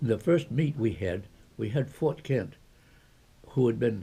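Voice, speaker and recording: A man with an American accent has a dark, mellow tone that is somewhat breathy. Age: 80s+. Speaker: retired ski area founder. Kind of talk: interview answer.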